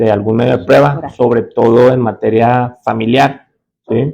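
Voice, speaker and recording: A man's dark, mellow tone at a fairly slow pace. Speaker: judge and law lecturer. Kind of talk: lecture.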